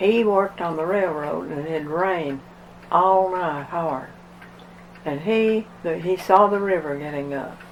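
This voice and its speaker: A fairly slow pace with an Appalachian accent. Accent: Appalachian Southern. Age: 100s (80s+). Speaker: flood survivor. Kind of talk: oral history interview. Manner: halting.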